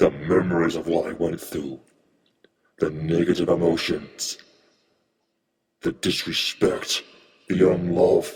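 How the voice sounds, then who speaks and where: The speaker uses a raspy, put-on character voice. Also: man. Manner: menacing.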